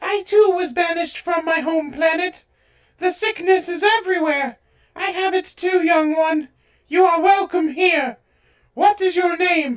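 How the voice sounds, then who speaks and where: In a cartoonish character voice, a woman squeaks at an extremely high pitch with ordinary variation, moving at a moderate pace. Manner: warm, motherly.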